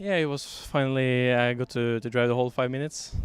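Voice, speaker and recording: Over noticeable background noise, a man with a Norwegian accent talks at a fairly quick pace in a medium pitch with fairly even intonation. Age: young. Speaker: RC car racer. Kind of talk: post-race interview. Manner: halting, searching for words.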